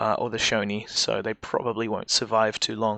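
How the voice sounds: With vocal fry and a bright, sharp tone, a man speaks fairly quickly at a fairly low pitch.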